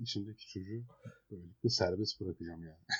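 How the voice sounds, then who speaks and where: A man talks at a very fast pace. He sounds somewhat breathy. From Eskişehir, Turkey. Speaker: podcast co-host. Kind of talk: casual chat.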